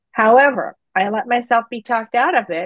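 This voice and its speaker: A woman speaks at a moderate pace. She has a German accent. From Germany. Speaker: financial advisor. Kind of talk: interview.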